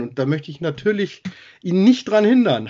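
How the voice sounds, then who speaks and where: Pitch swings very widely as a man talks fairly quickly in a high voice. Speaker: podcast host. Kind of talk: casual chat.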